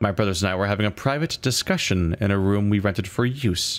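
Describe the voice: Pitch moves with ordinary variation. The delivery is plain reading aloud.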